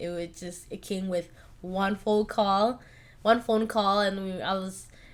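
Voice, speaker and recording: On a very clean recording with a silent background, a woman with an American accent uses an ordinary speaking voice at medium pitch, speaking at a fairly slow pace with fairly even intonation. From California. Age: 20s. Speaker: podcast host. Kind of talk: casual chat. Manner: casual, filler-heavy.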